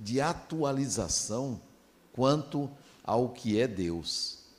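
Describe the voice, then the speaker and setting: Speaking at a very slow pace, a man shows vocal fry and a medium pitch with very wide swings. Audible room echo surrounds his voice. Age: 60s. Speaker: spiritist lecturer. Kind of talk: lecture.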